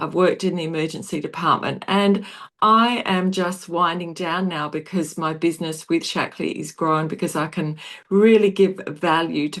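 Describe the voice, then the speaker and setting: At a moderate pace, a woman talks with an Australian accent in a fairly low pitch. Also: quiet background. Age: 60s. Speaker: nurse and wellness product seller. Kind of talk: video call presentation.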